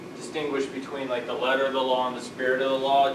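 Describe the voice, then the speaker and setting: A man is recorded with noticeable background noise. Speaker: lecturer. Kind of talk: lecture. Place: classroom. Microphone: camera far.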